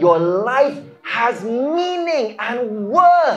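A man speaks with very wide pitch swings. Noticeable background noise runs underneath. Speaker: preacher, charity mission leader. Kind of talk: sermon-style encouraging message. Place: church. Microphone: handheld.

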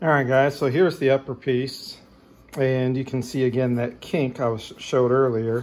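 The man's intonation is monotone and flat, and his pace is moderate. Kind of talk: tutorial. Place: garage. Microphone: phone near.

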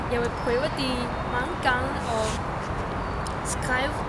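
Loud background noise runs under speech delivered at a very slow pace. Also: woman. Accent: Chinese. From northeast China. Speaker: university student. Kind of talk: personal tribute. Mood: warm, a bit emotional. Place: garden. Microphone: camera far.

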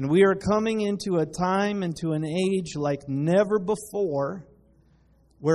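At a fairly slow pace, a man talks in a high voice with ordinary pitch variation. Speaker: pastor. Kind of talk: sermon. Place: church.

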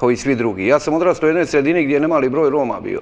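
This man's voice shows ordinary pitch variation. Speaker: guest. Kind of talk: interview answer. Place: studio. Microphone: lapel.

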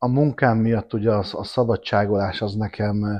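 Speaking at a moderate pace against a quiet background, a man uses a fairly low pitch and fairly even intonation. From Budapest, Hungary. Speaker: motorcyclist, tour helper; podcast guest. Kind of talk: casual chat. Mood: relaxed, storytelling. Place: home room. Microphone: lapel.

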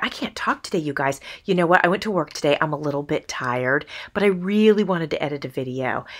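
Over a quiet background, a woman talks at a fairly quick pace with lively intonation and a fairly low pitch. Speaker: crafting YouTuber. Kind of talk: tutorial. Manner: stumbling over words.

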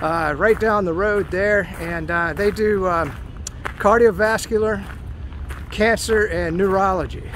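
A man's high-pitched voice at a very slow pace, dry with no echo, over light background noise. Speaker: walking vlogger. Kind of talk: casual vlog chat. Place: open country. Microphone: phone near.

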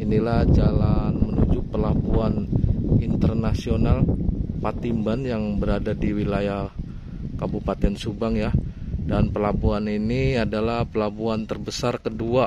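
A man talks at a fairly slow pace with ordinary pitch variation. Loud background noise fills the dry recording, which has no echo. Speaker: vlogger. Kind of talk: casual vlog chat. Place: open country. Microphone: phone near.

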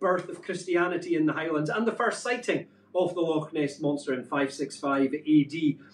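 Audible room echo surrounds a man who talks at a moderate pace. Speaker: show co-host. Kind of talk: presenting a live show. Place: home room. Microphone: camera far.

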